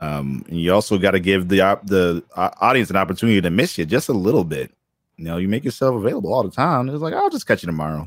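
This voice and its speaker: Speaking very fast with lively intonation, a man with an American accent has a fairly low pitch. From Boston. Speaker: content creator and illustrator. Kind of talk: casual interview.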